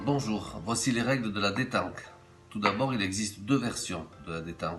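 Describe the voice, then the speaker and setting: With a slight southern French accent, a man speaks at a fairly slow pace in a fairly low pitch, his intonation lively. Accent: slight Hautes-Alpes (southern French). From Hautes-Alpes, France. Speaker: game inventor. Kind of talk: game rules explanation.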